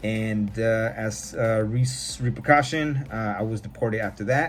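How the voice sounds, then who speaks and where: A man with an American accent talks at a moderate pace and medium pitch, with ordinary pitch variation and noticeable background noise. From California, US. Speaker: podcast host. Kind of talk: personal testimony. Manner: casual.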